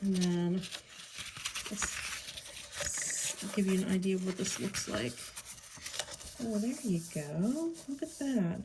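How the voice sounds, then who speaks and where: A woman with an American accent speaks very slowly, with long, frequent pauses. Her pitch swings very widely over noticeable background noise. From Pittsburgh, US. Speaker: crafter. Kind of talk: tutorial. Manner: hesitant, many fillers.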